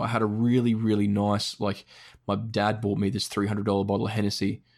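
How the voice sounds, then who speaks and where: A man speaks with an Australian accent in a fairly low voice. The recording is very clean, with a silent background. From Australia, Brisbane. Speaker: gaming podcaster. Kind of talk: casual chat.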